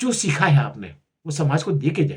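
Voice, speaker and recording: A somewhat breathy man's voice at a fairly high pitch, with ordinary pitch variation. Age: 70s. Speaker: health and culture YouTuber. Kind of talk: casual talk to camera. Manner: halting, with repetitions.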